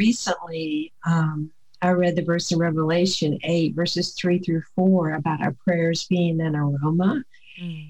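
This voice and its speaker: This woman has a Southern US accent. Her pitch is fairly low and her intonation fairly even. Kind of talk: faith-based interview with scripture. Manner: calm, soothing.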